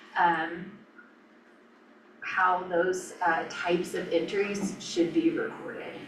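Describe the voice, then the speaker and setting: Amid noticeable background noise and audible room echo, a woman speaks at a medium pitch at a very slow pace, in a monotone, flat intonation with long, frequent pauses. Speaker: county finance officer. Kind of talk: presentation at a government work session.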